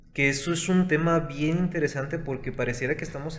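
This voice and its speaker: Over noticeable background noise and audible room echo, a man speaks with fairly even intonation. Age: 20s. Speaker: consultant and entrepreneur. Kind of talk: casual chat.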